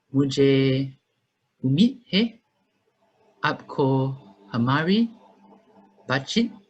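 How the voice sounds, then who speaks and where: The intonation is lively. The voice sounds somewhat breathy. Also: man. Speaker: university student interviewer. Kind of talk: interview. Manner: halting, hesitant.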